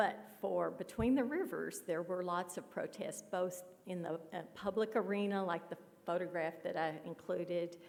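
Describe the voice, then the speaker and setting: A woman with a Kentucky accent, medium in pitch with ordinary variation, at a moderate pace. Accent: Kentucky Southern US. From western Kentucky, Paducah. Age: 60s. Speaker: author. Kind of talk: Q&A after a talk. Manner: hesitant, with fillers.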